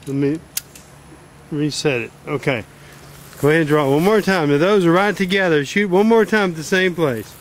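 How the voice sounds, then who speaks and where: The delivery moves at a moderate pace with ordinary pitch variation and long, frequent pauses. The sound is dry, with no echo. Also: man, high pitch for a man. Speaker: bowhunting equipment demonstrator. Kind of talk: coaching and commentary to camera. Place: garden. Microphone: phone near.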